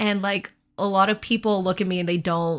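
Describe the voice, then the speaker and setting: A medium-pitched woman's voice on a very clean recording with a silent background. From Texas, Austin. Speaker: streamer. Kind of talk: casual chat. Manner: hesitant, many fillers. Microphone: new mic.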